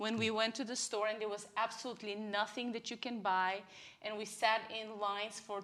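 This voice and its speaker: In a Bulgarian accent, a woman speaks at a moderate pace with a bright, sharp tone and monotone, flat intonation. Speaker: church member sharing testimony. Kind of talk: testimony. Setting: live church broadcast.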